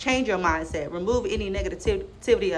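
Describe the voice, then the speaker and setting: A woman speaks in an animated tone, with audible echo from the room. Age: 20s. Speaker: vlogger giving life advice. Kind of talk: casual monologue to camera. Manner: fast.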